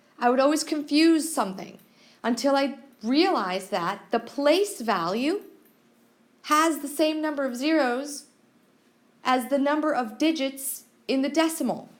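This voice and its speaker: In a room with audible echo, a woman talks at a very slow pace with a high pitch and lively intonation. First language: not English. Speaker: math teacher. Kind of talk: classroom lecture.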